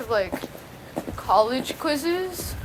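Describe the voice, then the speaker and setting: A woman speaks in a high pitch with lively intonation. Noticeable background noise runs under her voice. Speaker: college student podcast co-host. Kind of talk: casual chat. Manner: halting.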